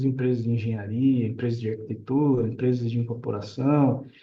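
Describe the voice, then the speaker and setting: Somewhat breathy, a man's medium-pitched voice moves at a moderate pace with fairly even intonation amid audible room echo. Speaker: real estate developer and architect. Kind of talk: live stream chat. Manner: casual.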